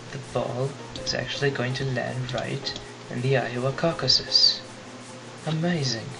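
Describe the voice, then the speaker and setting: Whispering at a fairly slow pace with long, frequent pauses, a man is heard with audible room echo and music in the background. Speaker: physics teacher. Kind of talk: tutorial. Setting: webcam recording. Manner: whispery.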